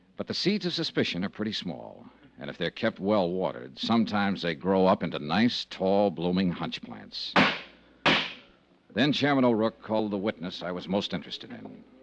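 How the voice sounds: A man's low, put-on character voice with big pitch swings, vocal fry and a moderate pace.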